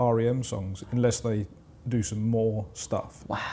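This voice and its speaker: In a southern English accent, a man with a medium pitch and a dark, mellow, somewhat breathy tone speaks at a very slow pace with fairly even intonation, on a very clean recording with a silent background. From southern England, Portsmouth area. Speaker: music producer. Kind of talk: casual interview chat.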